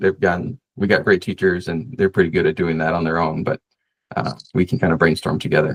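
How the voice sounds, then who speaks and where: A man talks with an ordinary amount of pitch variation. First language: Spanish. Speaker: associate pastor and seminary student; pastor, podcast host. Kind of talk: casual interview chat. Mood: relaxed, friendly. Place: home room. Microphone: video call.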